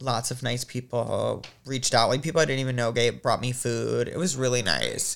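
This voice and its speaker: A man with an American accent talks at a moderate pace with hardly any pauses. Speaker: podcast host and producer. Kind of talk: casual chat.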